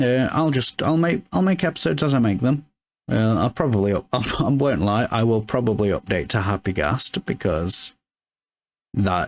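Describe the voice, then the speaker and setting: In a British accent, a man speaks at medium pitch and a moderate pace, his pitch swinging very widely. His loudness stays very even, and the sound is dry and close with no echo. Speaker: gaming let's play creator. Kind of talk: casual gameplay commentary. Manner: many filler words and stammers.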